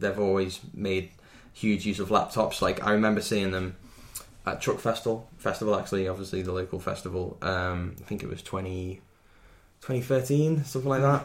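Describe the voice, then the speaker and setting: Someone with a Merseyside accent speaks at a moderate pace with ordinary pitch variation. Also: man, fairly low pitch for a man. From Wirral, Merseyside, England. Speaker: electronic musician. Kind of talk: casual chat.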